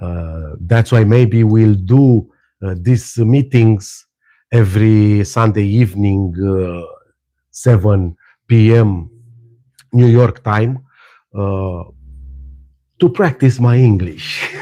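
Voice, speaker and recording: A man with a non-native accent speaks very slowly, leaving long, frequent pauses. His voice is fairly low and dark and mellow, with ordinary pitch variation against a quiet background. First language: not English. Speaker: spiritual teacher. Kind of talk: live stream talk. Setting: live stream. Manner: animated; halting.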